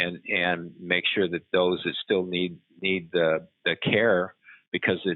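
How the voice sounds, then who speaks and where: Very deep and low, a man's voice carries the words. He keeps a moderate pace. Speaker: physician and virtual care founder. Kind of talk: interview. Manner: halting, many repeated words.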